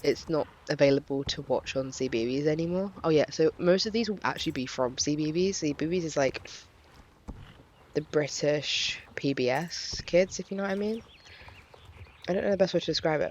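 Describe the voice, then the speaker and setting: An English accent at a fairly quick pace, broken by long, frequent pauses. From England. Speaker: YouTuber. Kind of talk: casual vlog chat. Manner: hesitant, many fillers.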